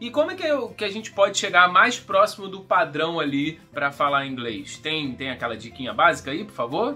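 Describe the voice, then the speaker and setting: Music plays in the background. The speaker, with a Rio de Janeiro accent, talks with hardly any pauses. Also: moderate pace. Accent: Carioca Brazilian Portuguese. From Rio de Janeiro, Brazil. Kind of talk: conversational interview question.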